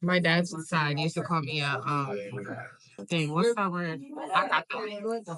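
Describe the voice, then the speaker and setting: Speaking with a Haitian accent at a fairly slow pace, this voice has long, frequent pauses and noticeable background noise. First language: Haitian Creole. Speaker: interviewee, Haitian-American parent. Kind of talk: casual interview chat.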